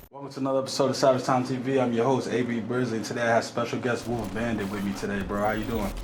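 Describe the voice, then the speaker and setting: With an American accent, a man at a medium pitch talks at a very fast pace with fairly even intonation and hardly any pauses, over audible room echo and noticeable background noise. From Delaware, US Northeast. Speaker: podcast host. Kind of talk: casual interview.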